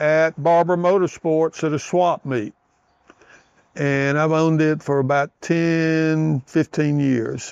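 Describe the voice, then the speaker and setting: A man with a fairly high pitch speaks at a very slow pace with ordinary pitch variation. The sound is dry and close, with no echo. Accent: Southern US. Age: 70s. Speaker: motorcycle enthusiast and shop owner. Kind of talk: interview. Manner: casual.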